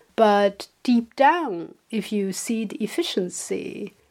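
A woman speaks with a Chinese accent at a fairly high pitch. Her intonation is lively. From China. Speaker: podcast co-host. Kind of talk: casual chat.

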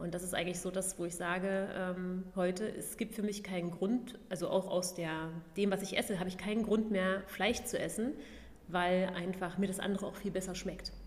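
In a room with audible echo and noticeable background noise, a woman speaks at a moderate pace. Her medium-pitched voice is monotone and flat. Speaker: vegan food blogger and former fitness trainer. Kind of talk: casual interview.

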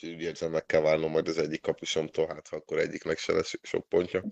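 A man speaks at a very fast pace. The sound is dry and close, with no echo. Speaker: fantasy football podcast co-host. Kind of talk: casual chat.

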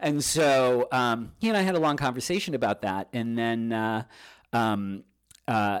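In a very clean recording with a silent background, a man of medium pitch speaks in an unremarkable speaking voice with lively intonation. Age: 50s. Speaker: magazine publisher. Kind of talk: interview. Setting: studio.

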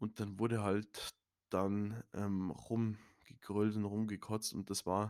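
In a very clean recording with a silent background, a man speaks at a fairly low pitch with monotone, flat intonation, the sound dry and close with no echo. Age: 20s. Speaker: podcaster. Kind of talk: personal testimony. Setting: home studio. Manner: halting, many fillers.

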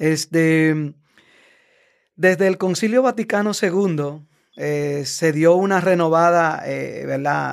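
A man speaks at a very slow pace in a high voice, recorded very cleanly against a silent background. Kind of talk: casual explanatory interview.

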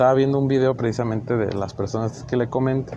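The speaker is male. He talks at a medium pitch. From northern Mexico, Chihuahua. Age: 20s. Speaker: amateur podcaster. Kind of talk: solo monologue podcast. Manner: halting, many fillers.

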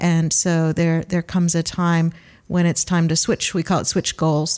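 A woman with a Great Lakes accent speaks at a fairly slow pace and a fairly low pitch. Her intonation is monotone and flat, on a very clean recording with a silent background. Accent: Great Lakes American. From Cleveland, Ohio, US. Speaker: palliative care physician and bioethics researcher. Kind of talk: interview discussing euthanasia.

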